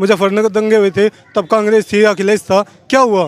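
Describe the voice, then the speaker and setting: A moderate pace, with a dry, close sound with no echo, against noticeable background noise. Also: man. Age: 40s. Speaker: interviewee in street interview. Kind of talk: street interview, political argument.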